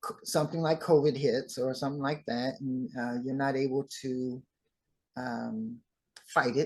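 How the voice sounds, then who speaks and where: At a moderate pace, a man talks in an unremarkable speaking voice, medium in pitch with fairly even intonation, against a quiet background. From Southern California. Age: 60s. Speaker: dancer and actor. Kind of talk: interview.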